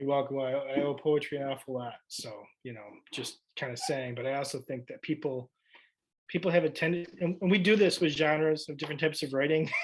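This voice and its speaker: Using an ordinary speaking voice, a man talks at a fairly quick pace and fairly high pitch, with ordinary pitch variation. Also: big swings in loudness. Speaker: high school English teacher. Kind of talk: presentation and Q&A.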